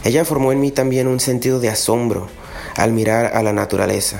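A man talks at a moderate pace, his intonation fairly even, with audible room echo and noticeable background noise around him. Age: 30s. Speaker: electrical engineer, grandson testimony. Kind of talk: prepared testimony.

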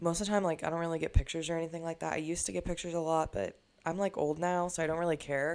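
A woman speaks very fast in a fairly low voice. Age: 20s. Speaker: podcast host. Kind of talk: casual chat. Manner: animated.

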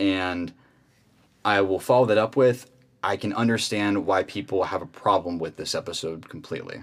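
Recorded very cleanly against a silent background, a man with an American accent uses a normal speaking voice at a fairly low pitch, a moderate pace and ordinary pitch variation. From Arizona, Phoenix. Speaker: podcast host. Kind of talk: casual chat.

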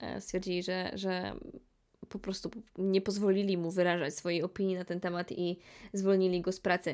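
A medium-pitched woman at a moderate pace with monotone, flat intonation. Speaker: podcast host. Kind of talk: casual monologue.

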